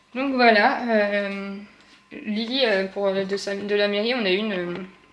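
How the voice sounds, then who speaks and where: Audible room echo and clearly noticeable background noise surround a woman as she talks. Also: medium pitch for a woman. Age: 30s. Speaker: vlogger, new mother. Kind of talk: casual vlog. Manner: fast; chatty, hesitant fillers.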